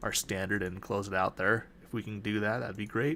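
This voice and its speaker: The speaker has a Utah accent and a moderate pace. The recording is very clean, with a silent background. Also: man. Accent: Utah accent, drops T in mountain. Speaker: day trader. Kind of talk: live trading walkthrough.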